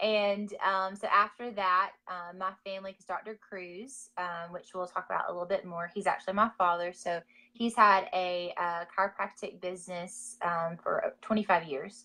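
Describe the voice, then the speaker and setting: A woman's medium-pitched voice with a Georgia accent, bright and sharp, at a moderate pace with hardly any pauses, fairly even intonation and big swings in loudness. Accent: Southern (Georgia). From US South, Georgia (Gainesville). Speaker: wellness business owner. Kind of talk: interview. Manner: hesitant, many fillers.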